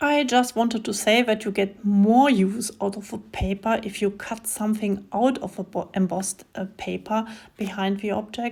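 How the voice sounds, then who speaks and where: With a German accent, a woman with a fairly high pitch speaks at a moderate pace and with fairly even intonation, in a very clean recording with a silent background. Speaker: craft video creator. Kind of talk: tutorial. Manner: halting with many fillers.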